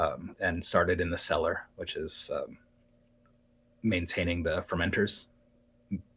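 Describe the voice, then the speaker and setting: A calm tone at a moderate pace, on a very clean recording with a silent background. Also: man. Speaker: live streamer and craftsman. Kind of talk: interview. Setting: live-streamed podcast.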